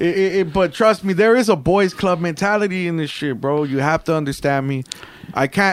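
A man with a high-pitched voice is heard through noticeable background noise. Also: ordinary pitch variation, moderate pace. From Mexican-American, US. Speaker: rapper. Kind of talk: casual chat.

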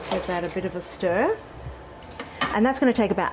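Amid noticeable background noise, a woman speaks at a medium pitch with an Australian accent. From Australia, Sydney. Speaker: food writer and cookbook author. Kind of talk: cooking tutorial. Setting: home kitchen. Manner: casual, friendly.

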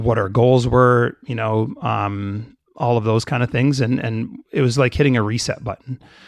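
With a Canadian accent, a man of medium pitch uses an ordinary speaking voice, fairly even intonation and a moderate pace. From Canada, of Jamaican family. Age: 40s. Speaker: business managing partner. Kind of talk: casual interview conversation.

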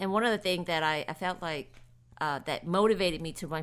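On a very clean recording with a silent background, a woman talks at a very fast pace with a fairly low pitch and ordinary pitch variation. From New Orleans, Louisiana. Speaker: nonprofit executive director. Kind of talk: casual interview.

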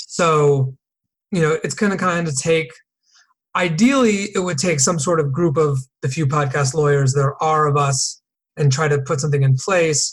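A normal speaking voice from a man with an American accent, fairly high in pitch, at a moderate pace with ordinary pitch variation. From US Northeast, Connecticut. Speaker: entertainment attorney. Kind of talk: casual interview.

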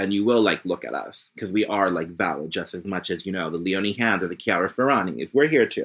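A plain, everyday voice, a man speaks in an American accent at a fairly quick pace, fairly low in pitch, with ordinary pitch variation and hardly any pauses. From US East Coast (Philadelphia, Virginia, North Carolina). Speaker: fashion and cultural critic. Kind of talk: casual interview.

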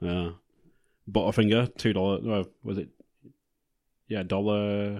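Fairly low in pitch, a man speaks fairly slowly with monotone, flat intonation. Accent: English. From Blackpool, northern England. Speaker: podcast co-host. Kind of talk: casual chat.

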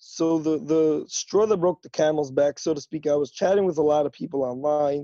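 A man speaks with hardly any pauses and a fairly high pitch. He has ordinary pitch variation and an unremarkable speaking voice. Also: moderate pace. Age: 20s. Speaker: guest in recovery. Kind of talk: testimony. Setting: remote call.

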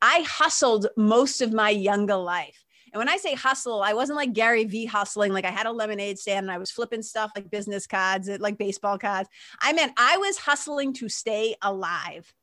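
In a very clean recording with a silent background, a woman speaks with a bright, sharp tone, fairly high pitch and ordinary pitch variation. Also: moderate pace. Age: 50s. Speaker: spiritual mentor and podcast host. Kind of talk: casual interview.

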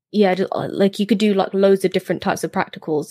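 A woman with a British accent speaks at a medium pitch in a dark, mellow tone. The recording is very clean and silent behind her, with a dry, close sound and no echo. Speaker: history podcaster. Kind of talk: casual chat.

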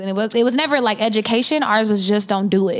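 A woman talks at a very fast pace with an American accent. Her pitch is medium. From Oklahoma. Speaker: podcast co-host. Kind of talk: casual chat.

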